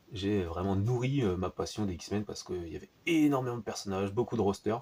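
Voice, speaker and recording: Fairly low in pitch with a dark, mellow tone, this man talks at a fairly quick pace with ordinary pitch variation. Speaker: comic book reviewer. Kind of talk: casual video review. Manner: hesitant, many fillers.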